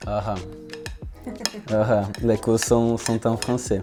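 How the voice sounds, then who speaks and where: Over music in the background, a man speaks at a very slow pace in a fairly low, monotone, flat voice. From southern Brazil. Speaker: engineering student. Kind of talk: interview answer. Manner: hesitant.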